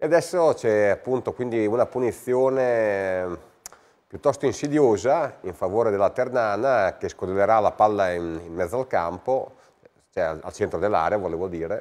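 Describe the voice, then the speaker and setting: Here a man talks at a moderate pace with lively intonation. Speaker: amateur football club official and sports commentator; sports commentator. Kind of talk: live sports commentary. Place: studio. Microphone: lapel.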